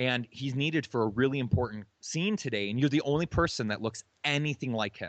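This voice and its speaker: In an American accent, a man with a plain, everyday voice talks at a fairly quick pace with ordinary pitch variation. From Michigan, US Midwest. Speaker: musician and former TV extra. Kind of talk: interview storytelling.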